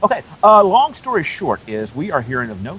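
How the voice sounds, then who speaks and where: He speaks fairly quickly. The speaker is a man. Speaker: space news reporter. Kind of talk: live launch commentary. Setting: outdoors on a causeway. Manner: fast.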